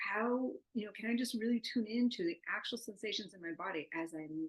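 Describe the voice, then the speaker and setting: A woman speaks at a fairly high pitch and a fairly quick pace. Her intonation is lively, with big swings in loudness. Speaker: neuroscience researcher. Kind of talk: lecture. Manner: fast.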